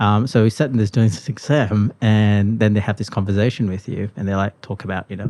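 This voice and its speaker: Barely pausing, a man speaks at a fairly quick pace in a dark, mellow, fairly low voice with fairly even intonation. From Malaysia. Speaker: podcast guest, sustainable transport worker. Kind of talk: casual interview chat. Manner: many fillers and restarts.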